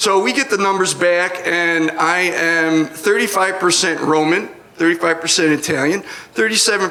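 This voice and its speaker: A man's high-pitched voice at a fairly slow pace, with ordinary pitch variation, noticeable background noise, and audible room echo. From US Northeast (Rochester, New York). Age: 60s. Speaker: comedian. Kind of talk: stand-up. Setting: stage with audience.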